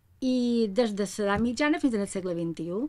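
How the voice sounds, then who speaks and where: Medium pitch from a woman, the pitch moving in an ordinary way. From Mallorca, Felanitx; Mallorca, Spain. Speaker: musicologist and music teacher; music teacher. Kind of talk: panel talk about research. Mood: calm, friendly. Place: office. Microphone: camera far.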